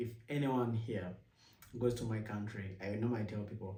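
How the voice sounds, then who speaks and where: With audible room echo, a man talks at a moderate pace and medium pitch in a somewhat breathy, dark, mellow tone. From Uganda. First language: Luganda. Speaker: vlogger, immigrant and former international student. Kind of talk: casual talk to camera. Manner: halting, with self-corrections.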